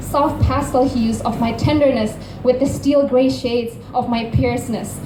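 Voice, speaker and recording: A woman's fairly high-pitched voice is heard through noticeable background noise. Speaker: spoken word poet. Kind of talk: poetry slam performance.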